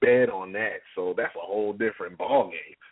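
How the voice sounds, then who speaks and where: A man talks at a moderate pace. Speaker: co-host. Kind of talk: casual chat.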